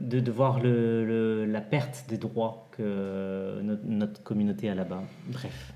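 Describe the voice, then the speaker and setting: A man's fairly low voice at a very slow pace, with ordinary pitch variation and audible room echo. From France, Essonne. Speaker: podcast host, adult content creator. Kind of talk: casual chat.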